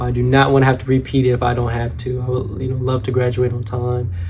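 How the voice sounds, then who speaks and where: Amid noticeable background noise and audible room echo, a man with an American accent speaks at a medium pitch. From Georgia, US South. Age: 20s. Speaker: mortuary science student. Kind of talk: self-introduction for a class assignment. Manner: casual, with frequent fillers.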